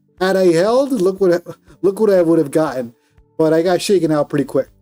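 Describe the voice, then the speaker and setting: Over music in the background, a man with a high pitch talks with lively intonation in a dry, close sound with no echo. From Colombia. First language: Spanish. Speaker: day trader streamer. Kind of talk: live trading stream chat. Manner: casual, animated.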